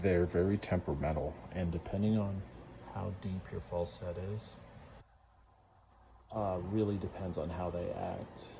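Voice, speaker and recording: A man's very deep, low-pitched, somewhat breathy voice, fairly even in intonation, at a fairly slow pace with long, frequent pauses. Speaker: lock picking hobbyist. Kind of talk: tutorial. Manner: hesitant, many fillers.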